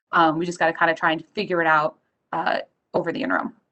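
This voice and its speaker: Bright and sharp in tone, the voice races along at a very fast pace. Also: woman. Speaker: county attorney. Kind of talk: formal policy discussion. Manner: fast talker.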